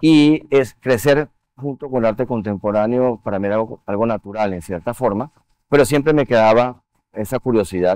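Against a quiet background, a man speaks at a moderate pace with lively intonation, the sound dry with no echo. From Venezuela. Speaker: art museum board chair and finance executive; guest. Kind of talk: TV interview. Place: studio.

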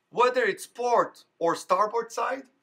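A man's extremely high-pitched voice with a fairly bright tone, at a fairly slow pace. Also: ordinary pitch variation.

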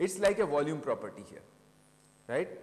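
Here is a man with an Indian accent. His pitch is high. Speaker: professor. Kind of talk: lecture. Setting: stage with audience. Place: classroom.

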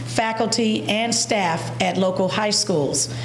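A woman is heard with audible room echo and light background noise. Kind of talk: formal reading of a resolution. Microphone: podium.

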